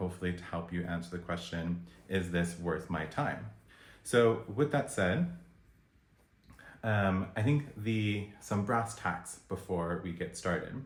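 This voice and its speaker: Audible room echo surrounds a man with a very deep, low voice and an American accent, who speaks at a fairly slow pace with ordinary pitch variation. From United States. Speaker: video blogger reviewing events. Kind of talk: review vlog.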